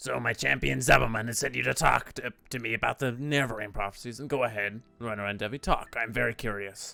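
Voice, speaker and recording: A man does a raspy put-on character voice at a medium pitch. He speaks fairly quickly, with hardly any pauses. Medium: game stream.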